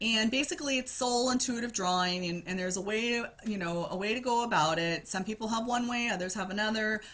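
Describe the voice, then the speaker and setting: A woman talks very fast at a fairly high pitch with ordinary pitch variation, noticeable background noise running behind her. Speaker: spiritual healer. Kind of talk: casual vlog monologue. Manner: hesitant, filler-heavy.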